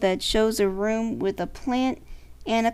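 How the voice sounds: This is a natural reading voice. The words are delivered that way throughout.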